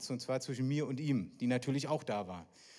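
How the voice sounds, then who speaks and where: A man speaks in an animated tone at a medium pitch with ordinary pitch variation. The recording is very clean, with a silent background. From East Berlin, Germany. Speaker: evangelist, guest preacher. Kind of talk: sermon.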